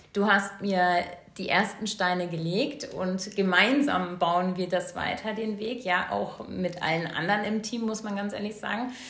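With audible room echo and noticeable background noise, a woman speaks fairly slowly at a medium pitch with ordinary pitch variation. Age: 40s. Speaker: essential oils sales consultant, mother. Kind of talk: casual interview.

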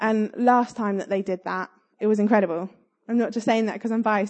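Animated and very fast, a woman with a southern English accent speaks at a fairly high pitch. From southern England. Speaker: church youth leader. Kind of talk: sermon. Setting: church.

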